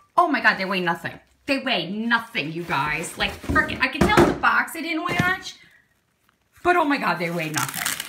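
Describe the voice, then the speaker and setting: Her pitch fairly high and swinging very widely, a woman talks at a moderate pace in an upbeat tone. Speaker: forearm crutch user with chronic illness. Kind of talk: casual unboxing talk to camera. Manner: upbeat, chatty.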